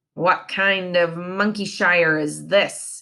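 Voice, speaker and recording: Growling in a put-on character voice, a female-sounding voice of medium pitch for a woman moves at a very slow pace. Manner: growling, disgusted.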